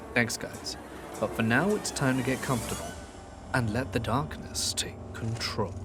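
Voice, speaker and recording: A man talks at a moderate pace, with music in the background. His medium pitch shifts in an ordinary way. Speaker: horror story narrator. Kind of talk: channel intro to audience.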